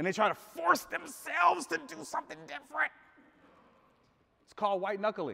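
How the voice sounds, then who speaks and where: In a raised, projected voice, a man speaks at a high pitch with very wide pitch swings. His pace is moderate, with long, frequent pauses. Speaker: life coach and motivational speaker. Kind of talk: live motivational speech to a room of men. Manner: conversational, audience-interactive, casual.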